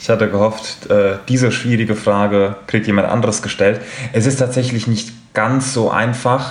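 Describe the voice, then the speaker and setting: A man speaks in a monotone, flat way at medium pitch and moderate pace. His loudness stays very even, and audible room echo is present. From Frankfurt, Hesse. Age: 20s. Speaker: football fan representative. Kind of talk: podcast discussion.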